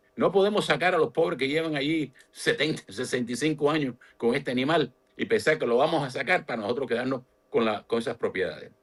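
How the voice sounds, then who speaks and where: Pitch varies in an ordinary way while the words pour out at a very fast pace. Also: man, fairly high pitch for a man. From Cuba. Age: 70s. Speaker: political analyst. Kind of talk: political interview.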